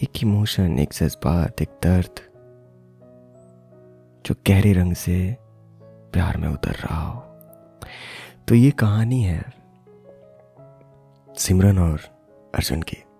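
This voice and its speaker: A man's very deep, low voice with a calm, soothing tone and lively intonation, long and frequent pauses, and music in the background. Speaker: voice-over artist and former radio jockey. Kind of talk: storytelling podcast narration.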